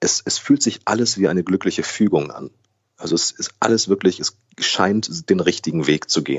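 Lively intonation marks this delivery. The tempo stays moderate. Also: man, very deep, low pitch for a man. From Germany, raised trilingual with Brazilian mother. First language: Brazilian Portuguese (speaking German). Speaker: actor, voice actor and newsreader. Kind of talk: casual interview.

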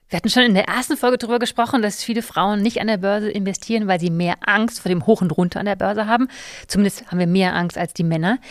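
At a very fast pace, a woman speaks in a medium pitch. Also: ordinary pitch variation. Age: 40s. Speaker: podcast host. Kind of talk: casual chat.

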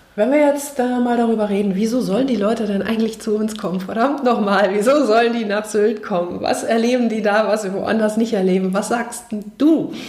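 A woman's fairly high voice at a fairly quick pace, with hardly any pauses, fairly even intonation, audible room echo and noticeable background noise. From Frankfurt, Germany. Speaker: podcast host and personal development trainer. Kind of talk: casual interview.

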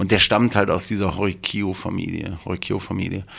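A fairly low-pitched man at a moderate pace, with an unremarkable speaking voice. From Germany, Duisburg (Ruhr area). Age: 50s. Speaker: tattoo artist. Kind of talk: casual chat.

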